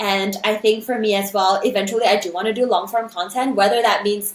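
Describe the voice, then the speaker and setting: Over noticeable background noise, a woman speaks at a fairly quick pace in an animated tone. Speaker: content creator and singer. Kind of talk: interview conversation.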